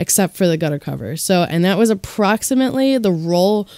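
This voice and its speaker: The tone is dark and mellow. The speech moves at a very fast pace. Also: woman. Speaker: DIY video maker. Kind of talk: casual talk to camera.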